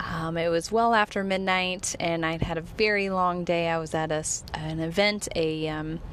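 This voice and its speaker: Speech with hardly any pauses and fairly even intonation carries audible room echo. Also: woman, fairly low pitch for a woman, moderate pace. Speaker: horse training podcast host. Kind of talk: casual podcast monologue. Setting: in a car. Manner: monotone.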